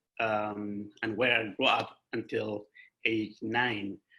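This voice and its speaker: A man speaks in a bright, sharp tone. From Darfur, Sudan. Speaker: refugee and nonprofit leader. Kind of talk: personal testimony talk. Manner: halting.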